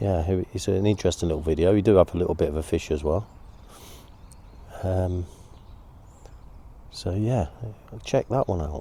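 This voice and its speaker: A man with an East Midlands accent speaks at a moderate pace in a very deep, low pitch, with a dark, mellow, relaxed tone and ordinary pitch variation. His voice is somewhat breathy, and he leaves long, frequent pauses. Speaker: angling video host. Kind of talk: casual outdoor vlog narration. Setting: outdoors on a riverbank. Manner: whispering a bit; relaxed, hesitant with fillers.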